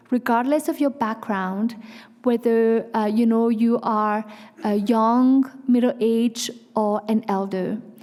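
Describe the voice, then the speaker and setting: This woman has a dark, mellow tone and a fairly high pitch. She talks at a moderate pace with fairly even intonation. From France. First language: Vietnamese or French. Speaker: nonprofit executive. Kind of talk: public speech. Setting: stage with audience.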